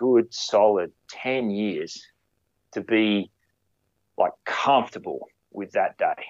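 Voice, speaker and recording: The speaker is a man with an Australian accent. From Queensland, Australia. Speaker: firefighter and photographer. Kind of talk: casual interview chat.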